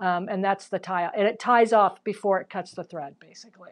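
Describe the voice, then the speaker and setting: This is an ordinary speaking voice with ordinary pitch variation and a moderate pace. The background is quiet. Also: woman. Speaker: quilt teacher. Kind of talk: live-stream tutorial.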